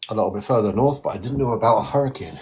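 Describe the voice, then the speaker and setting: A man talks with a strong Scottish accent. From Scotland, west coast. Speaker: radio hobbyist. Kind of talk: casual chat.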